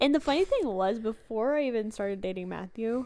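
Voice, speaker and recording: A woman's fairly high voice with ordinary pitch variation, a plain, everyday voice. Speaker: podcast co-host. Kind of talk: casual chat.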